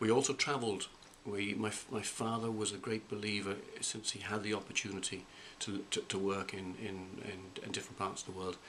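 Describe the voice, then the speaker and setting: Noticeable background noise sits behind a man talking at a fairly quick pace. His fairly low voice is monotone and flat. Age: 50s. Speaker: college president. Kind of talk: interview. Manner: halting.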